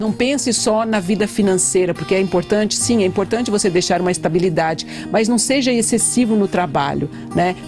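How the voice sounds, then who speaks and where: With music in the background, the speaker talks at a fairly quick pace, using lively intonation and very even loudness. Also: woman, medium pitch for a woman. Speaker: pastor and psychologist. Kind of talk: radio interview answer.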